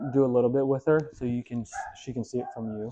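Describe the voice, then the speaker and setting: A man's dark, mellow voice at a moderate pace, with ordinary pitch variation. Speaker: dog trainer. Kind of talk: dog training instruction to owner. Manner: soft, gentle.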